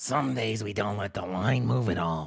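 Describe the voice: This man puts on a raspy character voice with a fairly low pitch and speaks at a moderate pace.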